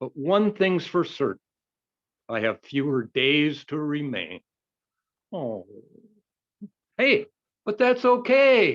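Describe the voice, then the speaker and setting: Speaking at a very slow pace with long, frequent pauses, a man with a fairly high pitch makes very wide pitch swings in a dry, close recording with no echo. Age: 60s. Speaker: amateur poet, retired nurse. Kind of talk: poetry reading. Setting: video call.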